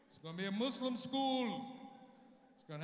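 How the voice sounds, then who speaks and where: Extremely high male pitch at a moderate pace, with audible room echo. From United States. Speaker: stand-up comedian. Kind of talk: stand-up comedy to a live audience. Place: hall. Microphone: handheld.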